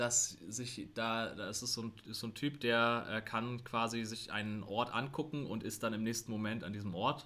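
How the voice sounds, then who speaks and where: A man's medium-pitched, bright and sharp voice, fairly even in intonation, at a moderate pace with hardly any pauses. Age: 20s. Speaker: university tutor and teacher-training student. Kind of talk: casual interview. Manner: halting, many fillers.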